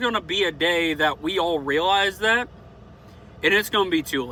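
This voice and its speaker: A raised, projected voice with an American accent has a bright, sharp tone. The pace is fairly slow. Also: man. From US South. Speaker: vlogger. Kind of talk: opinion monologue. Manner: casual, unscripted with hesitations.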